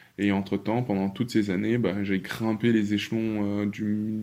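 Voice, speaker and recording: In a dark, mellow tone, a man speaks at a moderate pace with a fairly low pitch and monotone, flat intonation. The recording is very clean with a silent background. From Paris, France. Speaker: dancer and activist. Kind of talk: interview conversation.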